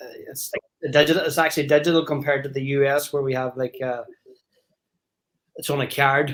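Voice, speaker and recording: With an Irish accent, a man talks at a fairly quick pace and a fairly high pitch, his intonation monotone and flat. Long, frequent pauses break up his speech, and his loudness swings widely. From Ireland, Donegal. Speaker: caller on live stream. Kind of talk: casual chat.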